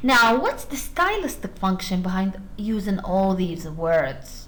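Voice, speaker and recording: A woman's voice carries audible room echo. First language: Arabic. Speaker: university lecturer. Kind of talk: lecture.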